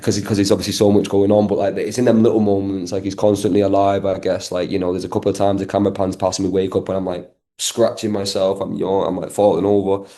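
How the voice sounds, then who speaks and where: Very fast speech from a man with a strong Manchester accent, fairly low in pitch, dark and mellow in tone, monotone and flat, against a quiet background. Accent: thick Manchester. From Manchester, northern England. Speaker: actor. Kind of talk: interview. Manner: fast, filler-heavy casual speech.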